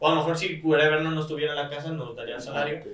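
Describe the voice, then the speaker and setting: Recorded with audible room echo, a man speaks at a very fast pace in a fairly high pitch. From Mexico, Guadalajara (Jalisco). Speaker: professional esports player. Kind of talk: casual chat.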